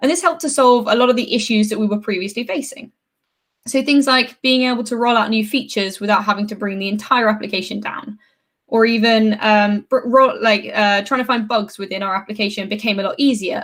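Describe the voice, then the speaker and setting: Speaking at a fairly quick pace, a woman with a British accent has a fairly high pitch. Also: ordinary pitch variation. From UK. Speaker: software developer advocate. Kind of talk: conference talk.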